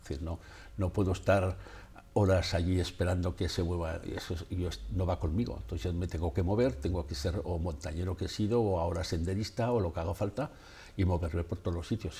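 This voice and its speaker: Using ordinary pitch variation, a man with a very deep, low pitch speaks at a fairly quick pace. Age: 70s. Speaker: photographer; interviewee. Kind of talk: interview. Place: studio. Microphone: lapel.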